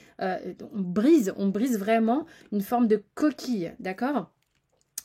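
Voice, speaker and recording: A woman speaks with a dark, mellow, somewhat breathy tone, a fairly high pitch and lively intonation. The recording is very clean, the background silent. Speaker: tarot reader. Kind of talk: tarot reading monologue. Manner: animated, many hesitations.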